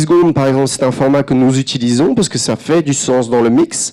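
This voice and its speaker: A dark, mellow tone marks this voice, which moves at a moderate pace with ordinary pitch variation. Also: man. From France. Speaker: advertising creative director. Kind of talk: conference talk. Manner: hesitant, many fillers and repetitions.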